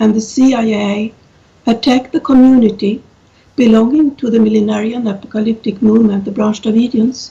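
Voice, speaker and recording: A woman with a non-native accent speaks at a fairly high pitch in a dark, mellow tone. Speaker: professor. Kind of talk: conference talk. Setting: video call. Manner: halting.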